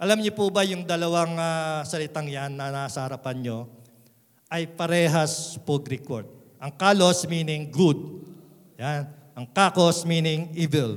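Speaking at a fairly slow pace, a man with a slight Visayan accent has a fairly high pitch and ordinary pitch variation. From Philippines, Visayan parents. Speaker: pastor. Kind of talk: sermon.

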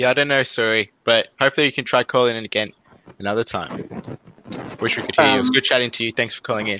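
Very fast speech from a man with an Australian accent, medium pitch and fairly even intonation, in a dry, close sound with no echo. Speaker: podcast host. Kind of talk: casual chat. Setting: video call. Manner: joking.

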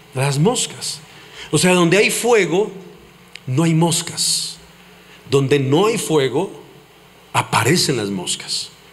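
With noticeable background noise and audible room echo, a man in a fairly high voice sounds animated, his intonation lively. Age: 40s. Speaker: pastor. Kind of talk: sermon.

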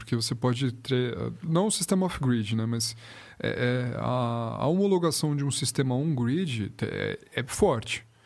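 Recorded very cleanly against a silent background, a man with an unremarkable speaking voice talks at a fairly slow pace in a medium pitch, his intonation lively. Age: 20s. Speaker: project manager in the automotive industry. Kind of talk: casual chat.

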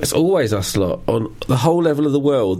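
Noticeable background noise sits behind a man with an English accent. He talks at a fairly quick pace, medium pitch and lively intonation. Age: 40s. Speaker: podcast co-host. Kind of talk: casual chat.

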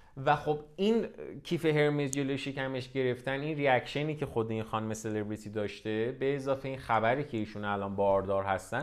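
Hardly pausing, a man with a medium pitch and ordinary pitch variation speaks at a fairly quick pace. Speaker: fashion business podcast host. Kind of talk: solo podcast monologue. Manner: casual, unscripted.

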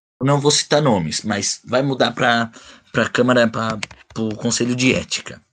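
This man has an ordinary speaking voice at medium pitch with ordinary pitch variation. He talks at a moderate pace. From Brazil, Bragança Paulista (São Paulo state). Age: 20s. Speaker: podcast host. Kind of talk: casual chat.

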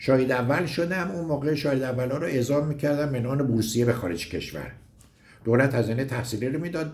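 Talking at a fairly quick pace, a man with a medium pitch and ordinary pitch variation sounds somewhat breathy over audible room echo. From Iran, Gorgan. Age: 70s. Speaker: mountaineering club veteran, former magazine editor. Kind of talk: recorded personal reminiscence.

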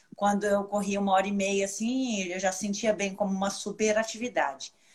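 A woman talks fairly quickly at medium pitch in a monotone, flat delivery over noticeable background noise. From Brazil, Minas Gerais. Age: 40s. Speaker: ultramarathon runner. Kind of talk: casual chat. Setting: video call.

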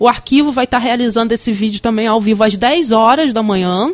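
The sound is close and dry, without any echo. A woman talks at a high pitch. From Campos dos Goytacazes, Rio de Janeiro state, Brazil. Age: 30s. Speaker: museum director. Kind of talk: radio interview.

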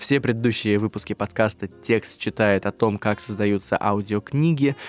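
A man speaks at a fairly low pitch with ordinary pitch variation, recorded dry and close with no echo. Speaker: podcast host. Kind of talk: casual chat. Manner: animated.

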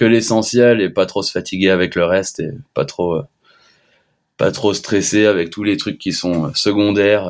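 The recording is very clean with a silent background. A man with a fairly low pitch speaks at a fairly slow pace with fairly even intonation. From Switzerland, French-speaking. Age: 20s. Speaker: freeskier. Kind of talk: casual chat.

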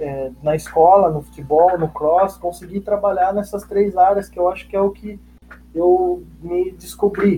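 A man speaks at a high pitch. His pace is fairly slow and his intonation fairly even. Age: 20s. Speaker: fitness coach. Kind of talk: casual interview.

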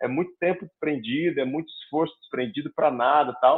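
In an ordinary speaking voice, a man talks at a fairly high pitch with ordinary pitch variation. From Curitiba, southern Brazil. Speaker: comedian. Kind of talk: casual chat.

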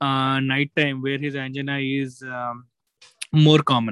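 A man's voice in a monotone, flat intonation. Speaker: cardiologist co-host. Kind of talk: clinical discussion on a video call. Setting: video call.

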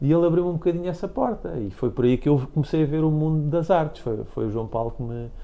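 At a very fast pace with hardly any pauses, a man with a dark, mellow tone and a fairly high pitch speaks with lively intonation. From Portugal, Caldas da Rainha. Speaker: graphic designer. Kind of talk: interview.

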